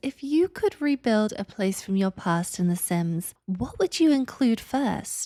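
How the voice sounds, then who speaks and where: In an English accent, a woman speaks with a calm tone, a dark, mellow tone, very wide pitch swings and hardly any pauses, in a dry, close sound with no echo. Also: fairly high pitch for a woman, fairly slow pace. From England. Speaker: Sims builder YouTuber. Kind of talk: voiceover tutorial.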